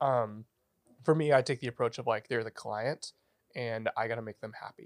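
A man with an American accent speaks at a moderate pace and medium pitch with ordinary pitch variation, a normal speaking voice, on a very clean recording with a silent background and a dry, close sound with no echo. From Northern California, Redding. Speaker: barista and audio engineer. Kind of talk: casual chat. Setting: studio.

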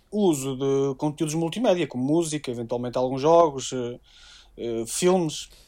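With a European Portuguese accent and ordinary pitch variation, the speaker keeps a moderate pace in a very clean recording with a silent background. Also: man. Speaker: tech writer. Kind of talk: casual chat.

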